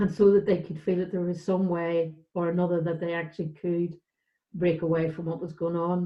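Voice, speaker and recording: A woman with a Northern Irish accent talks in a fairly low pitch with monotone, flat intonation. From Northern Ireland, West Belfast. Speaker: charity director. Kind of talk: panel discussion.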